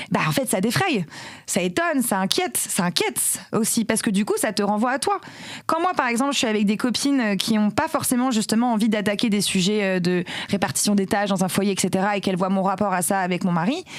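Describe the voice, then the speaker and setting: A woman's animated voice with lively intonation and very even loudness. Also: medium pitch for a woman, fairly quick pace. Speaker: tech career executive and feminist activist. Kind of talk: podcast interview.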